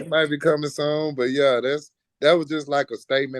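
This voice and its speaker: This man has a Houston accent and a monotone, flat intonation. He keeps to a moderate pace. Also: dry, close sound with no echo. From Houston, Texas. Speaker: rapper. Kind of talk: casual interview.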